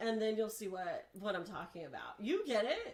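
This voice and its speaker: Her fairly high pitch comes with ordinary pitch variation as this woman talks. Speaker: horror content creator and podcaster. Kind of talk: casual chat. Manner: loud; animated.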